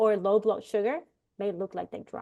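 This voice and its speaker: A woman speaks with a strong Puerto Rican accent. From Puerto Rico. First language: Spanish. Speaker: immigration rights panelist. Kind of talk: know-your-rights presentation. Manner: halting, many fillers.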